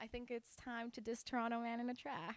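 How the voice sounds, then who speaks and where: A woman talks at a moderate pace. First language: Spanish. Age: young. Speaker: singer and rapper. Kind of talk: interview, casual. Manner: animated.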